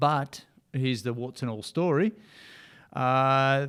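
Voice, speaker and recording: The speaker has an Australian accent and fairly even intonation, captured in a very clean recording against a silent background. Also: man. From Australia, Ocean Grove near Melbourne. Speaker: motivational speaker and coach. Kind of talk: casual interview.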